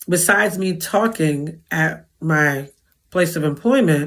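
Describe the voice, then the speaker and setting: The recording is very clean with a silent background, carrying a woman's very deep, low-pitched voice. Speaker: podcast host. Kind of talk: monologue to audience. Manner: animated.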